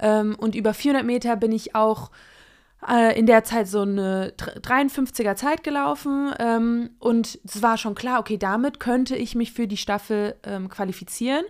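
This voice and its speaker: A woman with a fairly high voice speaks very slowly on a very clean recording with a silent background. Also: ordinary pitch variation. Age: 30s. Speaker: former Olympic sprinter and journalist. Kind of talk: casual chat.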